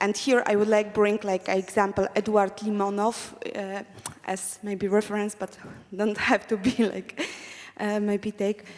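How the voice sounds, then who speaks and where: Over noticeable background noise, a woman with a non-native accent speaks at medium pitch in monotone, flat intonation. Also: fairly slow pace. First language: not English. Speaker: audience member. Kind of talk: audience question.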